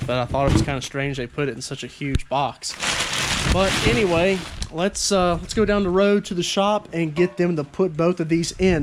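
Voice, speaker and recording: Noticeable background noise sits under the speech. The delivery is fairly quick, with lively intonation. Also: man. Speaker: car enthusiast vlogger. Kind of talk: casual vlog.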